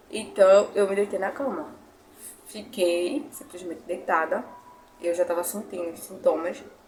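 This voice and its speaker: A woman of medium pitch with lively intonation, big swings in loudness, a fairly slow pace, long, frequent pauses, and noticeable background noise. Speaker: YouTuber. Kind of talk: testimony. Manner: emotional.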